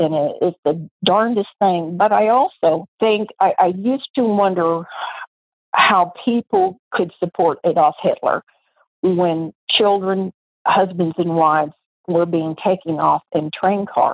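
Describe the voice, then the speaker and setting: The speech comes at a very slow pace, with very even loudness. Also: woman, medium pitch for a woman, ordinary pitch variation. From Texas. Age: 70s. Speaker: voter sharing political story. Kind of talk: interview testimony. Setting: phone call. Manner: animated.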